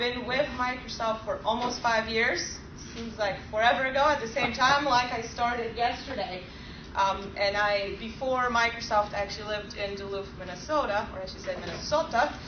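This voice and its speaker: A woman with a Polish accent and a fairly high pitch shows ordinary pitch variation, with audible room echo and noticeable background noise around her. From Poland. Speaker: software engineer presenting at a user group. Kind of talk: technical presentation. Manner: fast.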